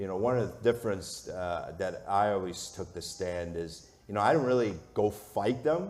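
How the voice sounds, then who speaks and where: A booming voice in an American accent at a moderate pace, with hardly any pauses and audible room echo. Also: man, fairly low pitch for a man, ordinary pitch variation. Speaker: sports media executive. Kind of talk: onstage interview. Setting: stage with audience. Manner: loud.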